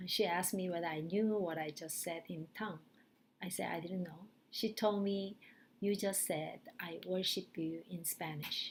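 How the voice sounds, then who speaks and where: Speaking in a Korean accent, a woman uses a medium pitch and a somewhat breathy voice. Her pace is moderate and her intonation fairly even. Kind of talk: testimony. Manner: halting, with frequent fillers.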